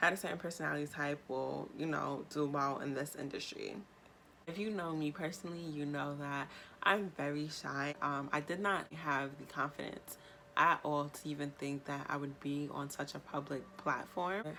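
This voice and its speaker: Speaking in a New York accent, a woman has a very deep, low pitch and a bright, sharp tone, moving at a moderate pace. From New York State. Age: 20s. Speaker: YouTuber. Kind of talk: vlog monologue. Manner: animated.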